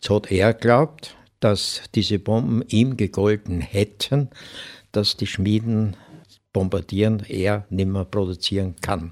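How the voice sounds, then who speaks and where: Ordinary pitch variation at a very slow pace, in a very clean recording with a silent background and a dry, close sound with no echo. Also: man, fairly low pitch for a man. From Upper Austria, Mühlviertel (Hirschbach). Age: 80s+. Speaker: elderly eyewitness recounting childhood. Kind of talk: interview storytelling. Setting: studio.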